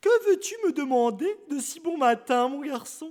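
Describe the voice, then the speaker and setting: This is a put-on character voice. It sits at a high pitch. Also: moderate pace. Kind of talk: bedtime story. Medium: read story. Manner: warm, affectionate.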